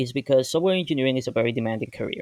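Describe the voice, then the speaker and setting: In a Spanish accent, a man speaks at a medium pitch with fairly even intonation, the sound dry and close with no echo. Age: 20s. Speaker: software engineer. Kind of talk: personal vlog. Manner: casual, with hesitations.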